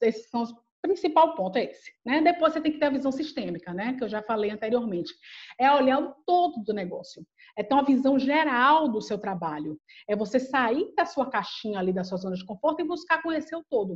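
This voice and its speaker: Against a quiet background, a woman speaks in a high pitch with very wide pitch swings. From Bahia, Brazil. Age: 40s. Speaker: HR head and psychologist. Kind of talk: interview conversation.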